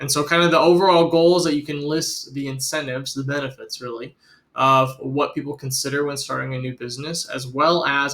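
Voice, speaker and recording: Speaking very fast with an American accent, a man keeps his intonation fairly even. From Iowa, US Midwest. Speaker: teacher. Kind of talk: instructional video for students. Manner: casual, with fillers.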